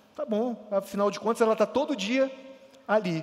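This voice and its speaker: Noticeable background noise beneath a man's moderately paced speech with ordinary pitch variation. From Rio de Janeiro state, Brazil. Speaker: pastor. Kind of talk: sermon.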